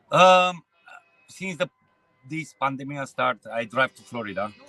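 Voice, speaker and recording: A man with a Romanian accent speaks at a fairly slow pace with ordinary pitch variation, his voice dry and close with no echo as music plays in the background. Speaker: truck driver. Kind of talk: street interview. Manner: halting.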